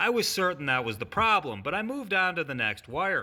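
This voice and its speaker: With a strong Midwestern accent, a man projects a raised, high-pitched voice with a bright, sharp tone, very wide pitch swings and a moderate pace. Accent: heavy Midwestern. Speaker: auto mechanic. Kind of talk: repair tutorial. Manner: careful enunciation; restrained, little enthusiasm.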